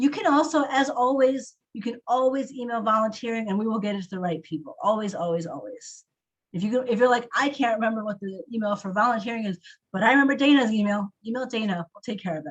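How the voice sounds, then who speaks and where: A woman talks very fast with lively intonation and big swings in loudness. Her fairly high voice is somewhat breathy. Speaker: council staff running volunteer meeting. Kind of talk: online meeting update.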